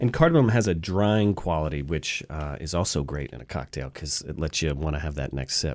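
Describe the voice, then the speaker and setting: With vocal fry and a very deep, low pitch, a man speaks at a fairly quick pace with hardly any pauses and ordinary pitch variation, on a very clean recording with a silent background. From US South, Atlanta. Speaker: bartender and mixologist. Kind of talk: radio interview with cocktail demonstration. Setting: radio studio.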